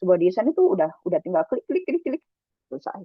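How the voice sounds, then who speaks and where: This voice belongs to a woman. She talks at a medium pitch. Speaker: bootcamp instructor. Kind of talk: online lecture. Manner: fast, animated.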